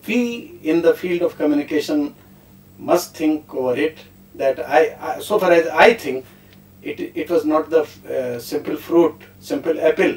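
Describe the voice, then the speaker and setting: Fairly high in pitch with ordinary pitch variation, a man talks at a fairly slow pace over noticeable background noise. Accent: Indian. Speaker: professor. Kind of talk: panel discussion. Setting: studio.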